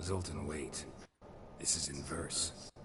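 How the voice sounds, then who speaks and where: A man's put-on character voice, very deep and low in pitch, with a deadpan tone and audible echo. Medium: video game. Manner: terse, deadpan.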